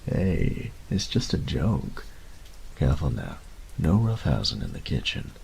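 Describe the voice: Over faint background noise, a man uses a put-on character voice at an extremely low pitch, with vocal fry. His pitch swings very widely at a fairly slow pace. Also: slightly mellow tone.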